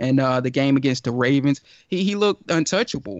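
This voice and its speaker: A man with an American accent has an unremarkable speaking voice, a fairly high pitch and ordinary pitch variation. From Georgia, US. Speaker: sports writer and podcast host. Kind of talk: casual sports talk.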